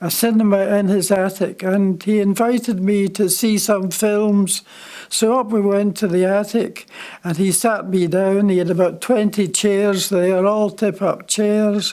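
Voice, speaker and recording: Spoken at a fairly slow pace with a Scottish accent, this is a very clean recording with a silent background. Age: 90s. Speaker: honorary vice president of film club. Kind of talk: anniversary speech. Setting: dinner event with audience.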